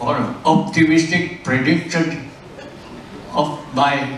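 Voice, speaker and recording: Audible room echo and noticeable background noise around a man's very slow speech. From South Vietnam. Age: 80s+. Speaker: retired engineering executive. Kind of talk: birthday speech. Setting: restaurant party with guests. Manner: halting.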